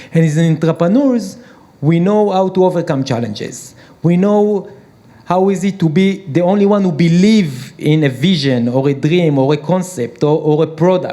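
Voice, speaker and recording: A man speaks with an Israeli accent in a high pitch. His loudness is very even and his pitch variation ordinary. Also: moderate pace. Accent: Hebrew. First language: Hebrew. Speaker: peace activist and entrepreneur. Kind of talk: panel discussion. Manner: hesitant.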